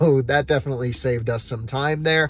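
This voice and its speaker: A man at a fairly quick pace, ordinary pitch variation, and a dry sound with no echo. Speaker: road trip vlogger. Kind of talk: casual vlog chat. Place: car. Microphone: phone near.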